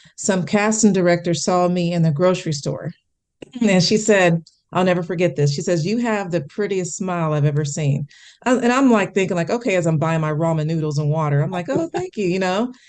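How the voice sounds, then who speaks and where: With an American accent and a normal speaking voice, a woman talks at a fairly quick pace, her pitch fairly low and its variation ordinary. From US Midwest, Kansas City, Missouri. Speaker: actress and television correspondent. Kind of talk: interview.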